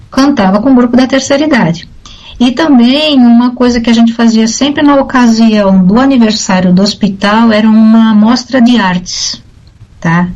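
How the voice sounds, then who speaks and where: The speaker talks at a moderate pace with ordinary pitch variation and very even loudness. Noticeable background noise is present. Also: woman, fairly high pitch for a woman. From Brazil, São Paulo. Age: 60s. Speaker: retired air force officer and speech therapist. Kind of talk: radio interview.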